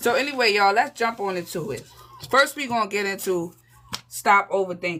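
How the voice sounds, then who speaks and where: The speech moves at a moderate pace with ordinary pitch variation, and noticeable background noise is present. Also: woman. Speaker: tarot reader. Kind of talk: live tarot reading. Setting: livestream. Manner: casual, conversational.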